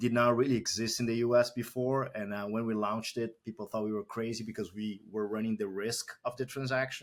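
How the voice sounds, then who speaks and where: In a very clean recording with a silent background, a man with a Brazilian accent talks at a fairly quick pace in a flat monotone. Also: medium pitch for a man, hardly any pauses. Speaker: tech company founder and CEO. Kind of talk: podcast interview.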